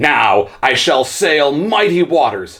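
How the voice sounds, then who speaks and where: At a fairly slow pace, a man uses a put-on character voice pitched fairly high. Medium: read story. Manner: proud, eager.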